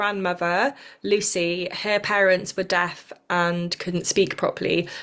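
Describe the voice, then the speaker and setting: Woman with a Welsh accent, bright and sharp in tone, at a fairly slow pace. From South Wales. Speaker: podcast host, spiritual teacher. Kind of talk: casual chat. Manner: halting.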